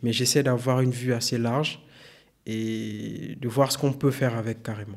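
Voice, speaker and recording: At a fairly slow pace, a man at medium pitch speaks in a monotone with flat intonation. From Gabon (Senegalese parents). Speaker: tech consultant and data science instructor. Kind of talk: podcast interview.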